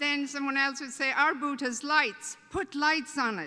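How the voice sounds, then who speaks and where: A woman speaks with an Irish accent. Her voice is raised and projected, and her pitch is high. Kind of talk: welcome speech. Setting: stage with audience at a convention. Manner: humorous, conversational.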